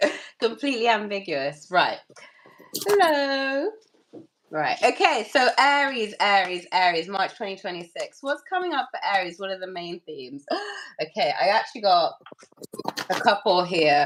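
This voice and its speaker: A woman speaks with very wide pitch swings and big swings in loudness. Her delivery has long, frequent pauses. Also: medium pitch for a woman, moderate pace. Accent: British. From UK. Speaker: tarot reader. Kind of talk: casual chat with tarot reading. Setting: live stream with co-host. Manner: casual, chatty.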